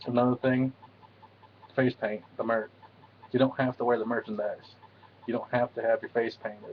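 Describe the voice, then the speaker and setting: A man mumbles at a medium pitch. His intonation is monotone and flat. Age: 20s. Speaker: juggalo vlogger. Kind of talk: casual talk to camera. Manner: mumbling.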